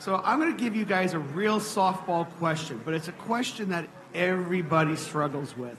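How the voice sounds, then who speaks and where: Loud and high-pitched, a man speaks at a moderate pace with ordinary pitch variation, with audible room echo and noticeable background noise. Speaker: audience member asking questions. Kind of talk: live Q&A discussion. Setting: stage with audience.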